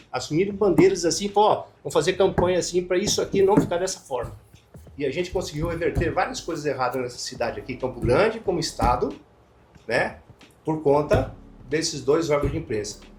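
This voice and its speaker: Fairly quick, lively speech over music in the background. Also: man, high pitch for a man. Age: 60s. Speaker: former journalist. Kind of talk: interview.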